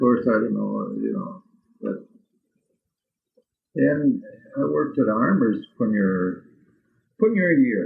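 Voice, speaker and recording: A man with an American accent speaks at a very slow pace, leaving long, frequent pauses. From Minnesota. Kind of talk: oral history interview answer. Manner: hesitant, halting.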